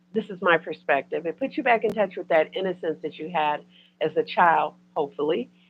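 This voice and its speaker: A woman's plain, everyday voice, fairly low in pitch, with lively intonation and big swings in loudness. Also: fairly quick pace. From US, Detroit. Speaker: spiritual content creator. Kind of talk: casual chat.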